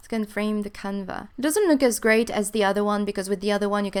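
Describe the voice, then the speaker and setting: A woman with a non-native accent speaks at a medium pitch in a very clean recording with a silent background. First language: not English. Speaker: gaming YouTuber. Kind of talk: let's play commentary. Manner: animated.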